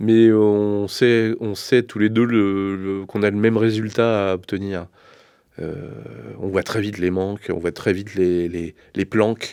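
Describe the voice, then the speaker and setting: Very slow and flat in intonation, this dark, mellow voice is heard over a quiet background. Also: man, fairly low pitch for a man. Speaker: vocal coach. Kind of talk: interview. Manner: halting.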